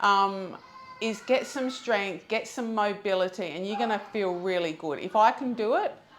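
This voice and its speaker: Woman at medium pitch with ordinary pitch variation and a moderate pace, amid noticeable background noise. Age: 60s. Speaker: gym member. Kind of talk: interview.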